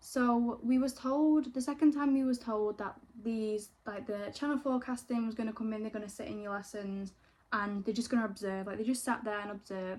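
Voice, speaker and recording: A woman with a Manchester accent speaks at a fairly quick pace in a fairly high pitch, her intonation fairly even, with noticeable background noise. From northern England, Greater Manchester. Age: 20s. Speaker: YouTuber, former reality TV participant. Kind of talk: casual get-ready-with-me chat. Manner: chatty, casual.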